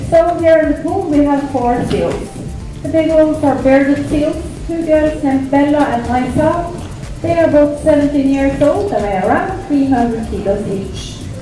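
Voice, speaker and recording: With clear music in the background and audible room echo, a woman speaks at a fairly slow pace in a high pitch with ordinary pitch variation. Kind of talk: public announcement presentation. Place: hall.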